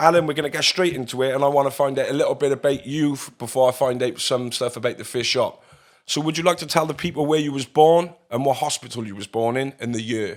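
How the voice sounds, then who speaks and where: A man talks at a very fast pace with hardly any pauses. His pitch is fairly high, with ordinary variation. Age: 30s. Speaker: podcast host. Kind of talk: interview.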